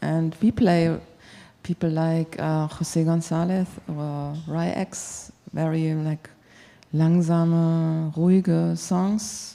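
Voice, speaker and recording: A woman with a German accent speaks very slowly in a fairly low, dark and mellow voice with monotone, flat intonation. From Germany. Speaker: radio music programmer. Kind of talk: panel feedback discussion. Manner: halting.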